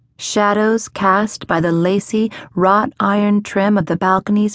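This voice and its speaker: The woman has a normal speaking voice with a medium pitch and fairly even intonation, in a dry, close recording with no echo. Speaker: audiobook narrator. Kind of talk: dramatic audiobook narration of historical romance. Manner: hushed, suspenseful, measured.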